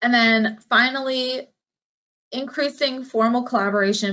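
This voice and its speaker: Talking at a medium tempo, a woman uses an unremarkable speaking voice whose pitch shifts in an ordinary way. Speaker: marine scientist presenter. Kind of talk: Q&A answer; lecture.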